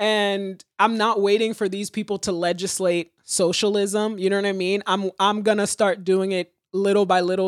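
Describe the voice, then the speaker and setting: A woman talks at a moderate pace in a normal speaking voice, medium-pitched with fairly even intonation. The sound is dry and close, with no echo. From Haiti, raised in the US from age four. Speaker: comedian. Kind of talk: casual chat. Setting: remote call.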